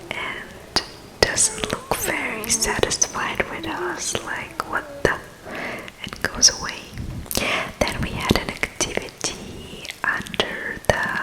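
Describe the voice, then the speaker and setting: Whispering at a very slow pace with long, frequent pauses, a woman is heard over noticeable background noise. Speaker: ASMR vlogger. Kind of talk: casual talk to camera. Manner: whispered.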